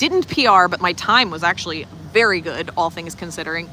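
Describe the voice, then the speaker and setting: A woman speaks at a fairly quick pace with a Long Island accent, her pitch in the medium range. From Long Island, New York. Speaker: life coach and teacher. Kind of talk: casual livestream chat. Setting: outdoors, walking around resort. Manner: animated.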